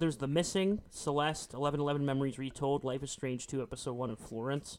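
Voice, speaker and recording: At a very fast pace, a man speaks in a fairly high pitch with fairly even intonation. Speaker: podcast co-host. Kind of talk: casual chat.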